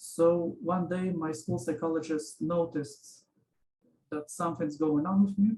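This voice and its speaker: A man's high, dark, mellow voice at a fairly slow pace, with fairly even intonation and a Russian accent. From Israel, born in Ukraine. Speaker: interviewee. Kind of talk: interview. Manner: halting.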